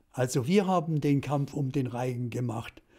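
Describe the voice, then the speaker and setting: A man speaks at a fairly slow pace in a dark, mellow tone, somewhat breathy, with ordinary pitch variation over a quiet background. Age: 80s+. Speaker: television director. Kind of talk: interview answer. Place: home room. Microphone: studio mic.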